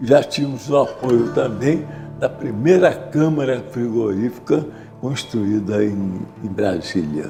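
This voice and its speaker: Over background music and some audible room echo, a man at a medium pitch speaks very slowly with lively intonation. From Rio de Janeiro, Brazil. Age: 80s+. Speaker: war veteran and businessman. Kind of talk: oral history interview. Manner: halting, many repetitions and fillers.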